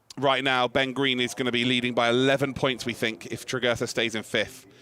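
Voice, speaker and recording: With a British accent, a man talks at a fairly quick pace and medium pitch amid noticeable background noise. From UK. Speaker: motorsport commentator. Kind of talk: live commentary. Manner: animated; fast.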